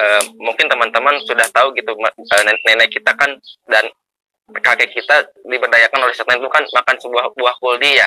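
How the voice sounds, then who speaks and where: A man's medium-pitched voice, bright and sharp in tone, at a moderate pace with fairly even intonation and a dry, close sound with no echo. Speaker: study group participant. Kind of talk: casual religious discussion. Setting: online call from a mosque. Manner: halting, many fillers.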